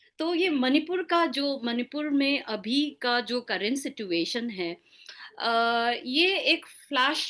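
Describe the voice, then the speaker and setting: Against a quiet background, a woman uses a raised, projected voice that is high in pitch with a bright, sharp tone. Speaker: senior journalist, former newspaper editor. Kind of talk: interview. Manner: halting, many fillers; code-switching Hindi and English.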